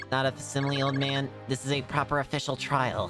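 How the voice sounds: A robotic, put-on character voice at a low-to-middle pitch races along at a very fast pace. Clear music plays in the background.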